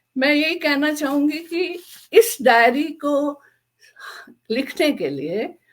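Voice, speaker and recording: Lively intonation marks a woman's high-pitched speech. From Jammu region (Dogra). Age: old. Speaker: author, army wife. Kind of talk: panel talk at book discussion.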